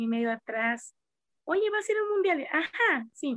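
A woman is speaking. The background is quiet. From Mexico, Coahuila. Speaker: karate teacher. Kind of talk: interview.

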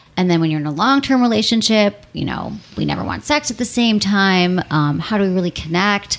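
Over noticeable background noise, a woman talks at a fairly quick pace with hardly any pauses. Her medium-pitched voice has lively intonation. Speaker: sex and relationship podcast host. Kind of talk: interview and casual chat. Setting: studio. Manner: fast talker; uses um a lot.

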